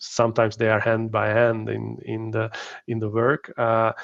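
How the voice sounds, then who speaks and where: A man with a strong Hungarian accent at a fairly slow pace, in a dry, close sound with no echo. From Hungary. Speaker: company founder, workplace wellbeing expert. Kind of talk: live interview. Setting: live online stream. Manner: halting, many fillers.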